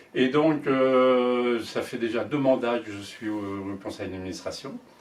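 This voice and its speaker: Noticeable noise in the background and audible echo in the room accompany a man's speech. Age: 70s. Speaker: sailing association board candidate. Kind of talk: candidate self-introduction. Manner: halting, many hesitations.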